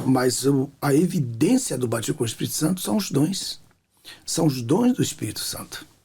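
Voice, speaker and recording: With a plain, everyday voice, a man at medium pitch speaks at a moderate pace with lively intonation. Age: 60s. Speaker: pastor and author. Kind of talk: testimony in interview.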